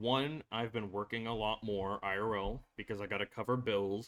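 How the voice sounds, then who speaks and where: With a bright, sharp tone, a man at medium pitch speaks at a fairly slow pace with ordinary pitch variation. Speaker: anime reaction youtuber. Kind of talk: personal vlog talk to camera.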